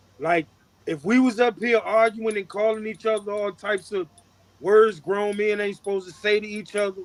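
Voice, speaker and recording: This man talks loudly at a moderate pace. His pitch is high. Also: fairly even intonation. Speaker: podcast co-host. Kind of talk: casual chat.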